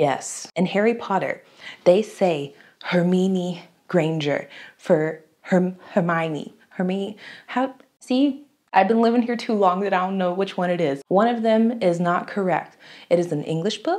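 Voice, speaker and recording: Over a quiet background, a woman with an American accent speaks fairly slowly in an animated tone with ordinary pitch variation. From United States. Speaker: YouTuber. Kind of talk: casual vlog talk to camera. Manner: chatty, animated. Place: home room.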